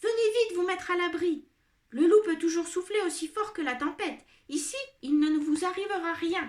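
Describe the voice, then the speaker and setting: In a put-on character voice, a woman speaks at a moderate pace with extremely high pitch. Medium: read story.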